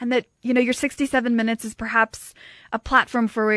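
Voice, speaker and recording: With an American accent, a woman speaks very fast in a fairly high voice with fairly even intonation, the sound dry and close with no echo and the background quiet. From United States. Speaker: nonprofit executive. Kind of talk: interview. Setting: studio.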